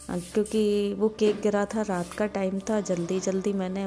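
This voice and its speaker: The speech moves at a fairly slow pace. Loud background noise runs underneath. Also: woman. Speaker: homemaker vlogger. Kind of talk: casual vlog chat.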